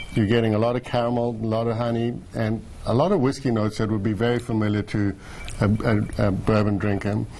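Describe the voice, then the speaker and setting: Speaking with a South African accent, a man talks at a very fast pace and a medium pitch. His tone is dark and mellow, with monotone, flat intonation. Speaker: distillery owner. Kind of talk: TV interview.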